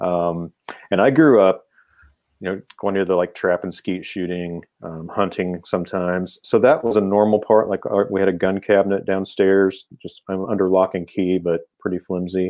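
Speaking with an American accent, a man has a very deep, low pitch and fairly even intonation. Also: moderate pace. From Kansas. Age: 50s. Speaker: philosophy professor. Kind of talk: casual interview.

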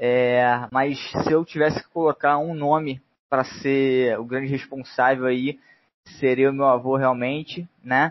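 A man's medium-pitched voice at a fairly slow pace, in a monotone, flat intonation. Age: 20s. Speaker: football fan commentator. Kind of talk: casual chat.

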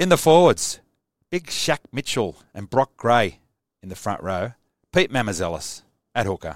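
Speaking with an Australian accent at a medium pitch, a man uses very wide pitch swings, big swings in loudness, and long, frequent pauses. The recording is very clean and silent in the background, with a dry, close sound and no echo. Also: moderate pace. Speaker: sports fan livestreamer. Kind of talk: live solo sports preview stream. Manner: casual, enthusiastic.

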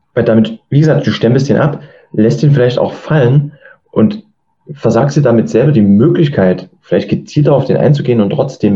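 A man's somewhat breathy, dark, mellow tone at medium pitch, with lively intonation and a moderate pace. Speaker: podcast host. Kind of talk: interview.

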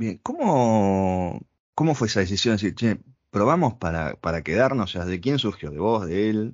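A plain, everyday voice, a man's with fairly low pitch, lively intonation and a moderate pace. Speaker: podcast host. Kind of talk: interview.

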